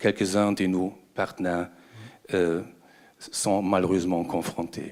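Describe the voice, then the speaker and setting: Speaking very slowly, a man talks with a German accent. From Germany. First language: German (speaking French). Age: 60s. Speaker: ambassador, audience member asking a question. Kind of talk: audience question at a conference debate. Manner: halting, with hesitations.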